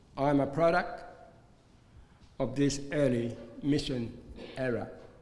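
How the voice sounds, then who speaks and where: A man at a fairly slow pace with fairly even intonation, audible room echo around him. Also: fairly high pitch for a man. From Arnhem Land, Northern Territory, Australia. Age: 70s. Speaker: community organisation chairman and minister. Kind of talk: formal speech. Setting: reception with audience. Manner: formal.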